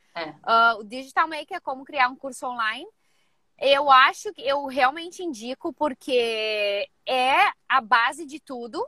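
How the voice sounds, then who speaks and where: Using a raised, projected voice with a bright, sharp tone and a high pitch, a woman speaks at a fairly slow pace with lively intonation and big swings in loudness, in a dry, close sound with no echo. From Rio Grande do Sul, Brazil. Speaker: personal trainer. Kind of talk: live mentoring session. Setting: in a car.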